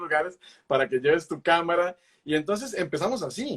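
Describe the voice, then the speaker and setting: A man speaks at a fairly quick pace. His high-pitched voice sounds dry and close, with no echo. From Costa Rica, Pacific coast (Puntarenas). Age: 20s. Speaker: wildlife photographer. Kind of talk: interview. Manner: talkative, hesitant with fillers.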